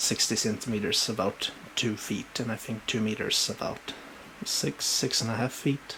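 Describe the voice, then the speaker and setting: A man with a Swedish accent at a medium pitch and moderate pace, fairly even in intonation, over noticeable background noise. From Sweden. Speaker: booktuber showing book collection. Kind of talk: casual show-and-tell video. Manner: halting, many fillers.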